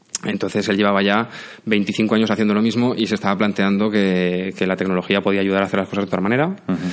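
Very fast and at a fairly low pitch, a man speaks with monotone, flat intonation and very even loudness. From Spain, Aragon (Zaragoza). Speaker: software company CEO. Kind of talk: interview. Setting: studio.

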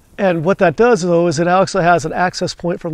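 The voice has fairly even intonation and a dry sound with no echo. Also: man. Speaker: channel host. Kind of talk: casual vlog chat. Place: garden.

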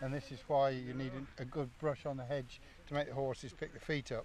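A man at a moderate pace with monotone, flat intonation, in a dry sound with no echo and light background noise. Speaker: hedgelaying competition judge. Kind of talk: interview answer. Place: open country.

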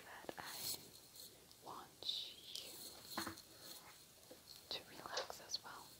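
A woman whispers very slowly, with long pauses coming frequently. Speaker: ASMR creator. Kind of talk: ASMR soft-spoken talk to camera. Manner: soft-spoken. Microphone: earbuds.

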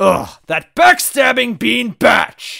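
Using a put-on character voice, a man speaks slowly at an extremely high pitch, with big pitch swings, vocal fry, and a bright, sharp tone.

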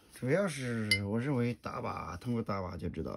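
A man speaks softly. His intonation is lively. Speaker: gun hobbyist vlogger. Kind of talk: tutorial. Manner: soft-spoken.

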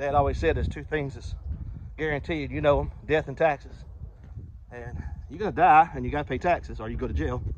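Over light background noise, a man talks at a fairly quick pace in a dry sound with no echo, with big swings in loudness and long, frequent pauses. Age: 40s. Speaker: pastor; lay preacher vlogger. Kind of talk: devotional vlog; church announcement. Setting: outdoors. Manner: casual, conversational. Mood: earnest, reflective. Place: forest. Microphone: earbuds.

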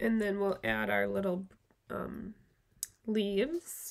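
A woman talks at a very slow pace. Her speech has long, frequent pauses. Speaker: craft video host. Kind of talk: tutorial. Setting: live stream at home. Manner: casual, friendly, filler words. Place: home room.

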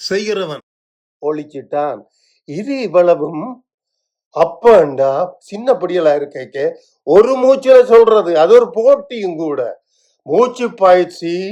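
Against a quiet background, a man with a Sri Lankan accent speaks at a high pitch with lively intonation and a dark, mellow tone. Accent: Sri Lankan Tamil. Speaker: video blogger. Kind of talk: casual chat. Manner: halting.

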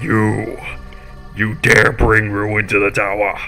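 Growling in a put-on character voice, a man speaks at a very slow pace over clear music in the background. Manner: menacing, commanding.

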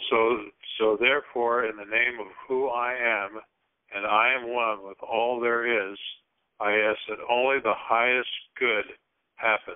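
The background is quiet as a man speaks at a fairly slow pace. His intonation is monotone and flat, with long, frequent pauses. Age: 60s. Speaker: regular call participant. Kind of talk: spiritual group call discussion. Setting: phone conference call. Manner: halting, repeats words. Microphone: phone line.

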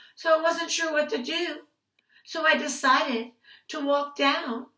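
A woman speaks in a raised, projected voice with an animated, warm, bright and sharp tone. Her pitch varies in an ordinary way, with audible room echo over a quiet background. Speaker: preschool teacher. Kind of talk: picture-book storytelling for small children. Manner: animated, sing-song voice acting out calls and ouches; warm, slow, playful teacher tone addressing toddlers. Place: home room. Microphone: webcam.

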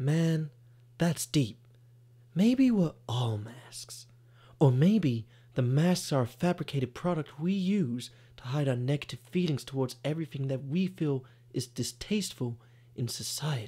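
In a put-on character voice, the speaker drawls at a moderate pace with a low-to-middle pitch. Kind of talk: comic dude voice. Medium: comedy sketch. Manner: drawling, casual slacker slang.

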